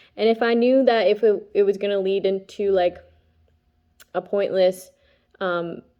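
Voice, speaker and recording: A woman talks at medium pitch with fairly even intonation. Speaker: tarot reader and spiritual vlogger. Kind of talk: casual monologue vlog. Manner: fast; halting, many fillers.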